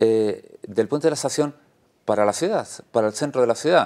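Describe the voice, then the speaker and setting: A man's lively intonation comes through clearly against a quiet background. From Spain, Ávila (Castile); Castile, Spain. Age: 50s. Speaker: regional election candidate, politician; election candidate, politician. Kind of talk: election interview. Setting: TV studio. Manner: hesitant with frequent fillers. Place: studio. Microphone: lapel.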